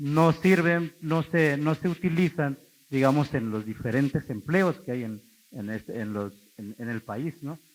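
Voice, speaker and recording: A man speaks at a fairly slow pace in a fairly high pitch. His intonation is lively, with big swings in loudness. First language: Zapotec (speaking Spanish). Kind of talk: talk to an audience. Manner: conversational, frequent tag questions.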